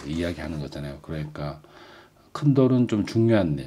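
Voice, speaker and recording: A man with very wide pitch swings. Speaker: vlogger. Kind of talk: casual book review vlog with reading aloud. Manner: hesitant, many fillers.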